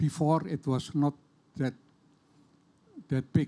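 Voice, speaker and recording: Speaking in an Indonesian accent at a fairly slow pace, a man with a fairly high pitch and a dark, mellow tone keeps his intonation fairly even. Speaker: audience member. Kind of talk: audience question. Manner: halting.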